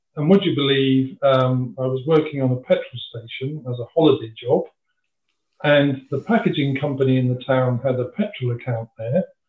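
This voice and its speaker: A man talks in a southern English accent. His pace is moderate and his pitch varies in an ordinary way. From England, Kent (Dover). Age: 60s. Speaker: retired packaging industry manager. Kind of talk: interview, personal career story.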